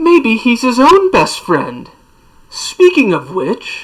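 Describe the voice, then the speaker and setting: A woman's high-pitched, hissing, put-on character voice at a very slow pace. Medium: read story. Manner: sly, mocking.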